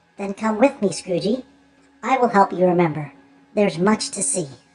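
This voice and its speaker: At a moderate pace, a woman uses a put-on character voice at medium pitch. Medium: read story. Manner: gentle, patient.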